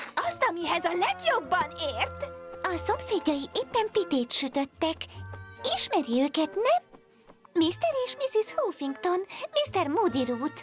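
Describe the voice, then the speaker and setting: Extremely high, female-sounding put-on character voice with long, frequent pauses and faint music in the background. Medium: fan dub. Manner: soft-spoken, polite.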